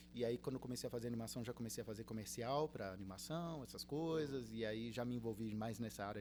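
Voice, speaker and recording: A man talks at a fairly quick pace with medium pitch and ordinary pitch variation. It is an unremarkable speaking voice. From Brazil, Rio de Janeiro state (Cabo Frio), early childhood in Uruguay. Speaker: university professor, illustrator and game designer. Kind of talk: podcast interview.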